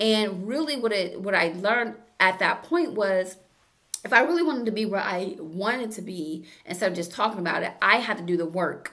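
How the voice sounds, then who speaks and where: A woman speaks fairly quickly at a medium pitch with lively intonation, in an ordinary speaking voice. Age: 60s. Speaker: therapist and self-help YouTuber. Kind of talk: motivational self-help talk. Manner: casual, conversational.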